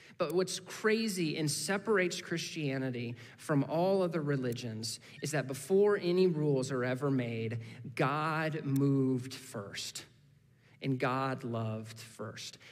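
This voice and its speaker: A man with an American accent, lively intonation and a fairly slow pace. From US Midwest (Indiana). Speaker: guest preacher from a missions ministry. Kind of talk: sermon. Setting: church service. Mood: calm, personal, earnest. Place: church. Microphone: headset.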